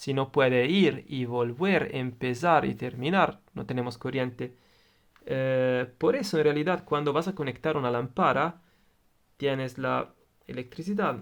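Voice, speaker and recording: A man with an Italian accent, medium pitch, ordinary pitch variation and a fairly slow pace. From Italy. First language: Italian (speaking Spanish). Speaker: electronics tutor, YouTuber. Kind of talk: tutorial. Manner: halting, with filler sounds.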